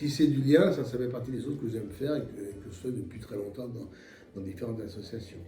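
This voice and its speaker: A man at a very fast pace and medium pitch, with ordinary pitch variation and audible room echo. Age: 60s. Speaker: retired accountant, association treasurer. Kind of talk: interview. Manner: halting, many hesitations.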